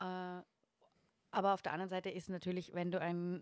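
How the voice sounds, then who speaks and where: This woman has a normal speaking voice and talks at a fairly quick pace, captured with a dry, close sound and no echo. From Austria, Upper Austrian parents, lived in Vienna. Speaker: photographer and interior designer. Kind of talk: casual chat.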